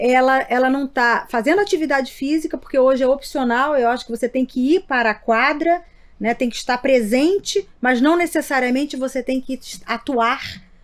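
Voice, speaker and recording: A woman's high voice, moderate in pace and ordinary in pitch variation. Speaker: neurologist, sleep medicine doctor. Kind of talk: interview podcast. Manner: halting, repeats words.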